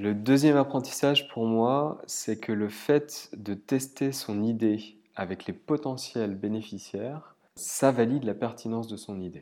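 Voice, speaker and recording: On a very clean recording with a silent background, a man at a medium pitch speaks at a fairly slow pace with ordinary pitch variation and hardly any pauses. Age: 30s. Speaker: human resources professional. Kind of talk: scripted narration. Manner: hesitant fillers.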